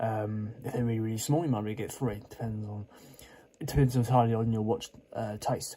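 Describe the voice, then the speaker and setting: Talking at a very fast pace, a man at medium pitch has a dark, mellow, somewhat breathy tone and fairly even intonation. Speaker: watch reviewer. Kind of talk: product unboxing review. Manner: casual, hesitant with fillers.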